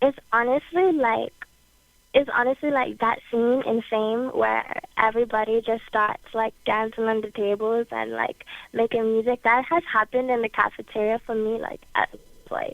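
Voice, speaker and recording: Speaking with a Bermudian accent, a woman uses a fairly high pitch with ordinary variation at a moderate pace. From Bermuda. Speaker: singer-songwriter. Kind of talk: interview.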